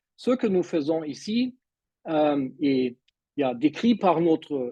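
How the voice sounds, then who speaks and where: With a non-native accent and a dark, mellow tone, a man speaks at a very slow pace using very wide pitch swings. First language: not French (speaking French). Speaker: mindset coach. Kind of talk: online presentation. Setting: video call. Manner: halting.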